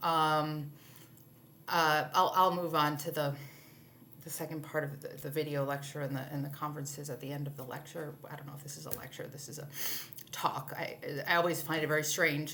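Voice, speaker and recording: A woman talks at a fairly quick pace in a very deep, low voice, monotone and flat, with long, frequent pauses and big swings in loudness. Audible room echo is present. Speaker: literature instructor. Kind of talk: recorded lecture. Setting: alone in a room, video recording. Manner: halting, many fillers.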